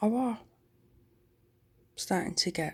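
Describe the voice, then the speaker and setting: A woman with a Yorkshire accent at a fairly slow pace. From Yorkshire, northern England. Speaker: vlogger. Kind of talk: casual chat. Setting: at home at night. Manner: loud.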